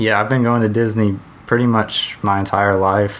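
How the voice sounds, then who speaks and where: Over noticeable background noise, a man speaks with monotone, flat intonation at a fairly low pitch. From US South, Georgia (Hampton, near Atlanta). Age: 20s. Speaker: podcast co-host. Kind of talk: casual chat. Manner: hesitant, many fillers.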